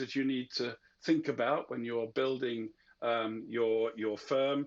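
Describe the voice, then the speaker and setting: A man talks at a fairly slow pace. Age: 60s. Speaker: venture capital investor, panelist. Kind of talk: panel discussion. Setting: conference panel. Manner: hesitant, many fillers.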